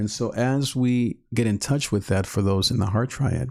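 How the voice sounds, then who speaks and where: Speaking at a moderate pace, a man uses a normal speaking voice with a medium pitch. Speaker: YouTube channel host, Enneagram teacher. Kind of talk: live-stream teaching talk. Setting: live stream.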